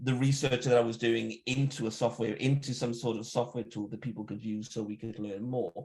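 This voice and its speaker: Somewhat breathy, a man talks at a fairly quick pace. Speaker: software security researcher and tool creator. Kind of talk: technical talk. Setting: live online event. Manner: fast.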